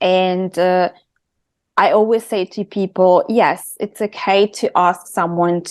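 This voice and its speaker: A woman's medium-pitched voice with a dark, mellow tone at a fairly slow pace, set against a quiet background. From Italy. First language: Italian. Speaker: intuitive and creative coach. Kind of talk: podcast interview.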